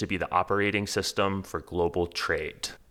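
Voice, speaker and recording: With an American accent and a bright, sharp tone, the speaker talks at a fairly quick pace in a very clean recording with a silent background. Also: man. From Texas, Houston. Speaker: podcast host and newsletter founder. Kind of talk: reading aloud an essay.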